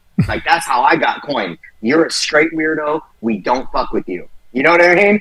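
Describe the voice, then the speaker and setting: With a bright, sharp tone and some vocal fry, a man talks at a moderate pace in a fairly high pitch, his delivery animated and his intonation lively. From San Jose, California (Bay Area). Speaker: rapper. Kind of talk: interview.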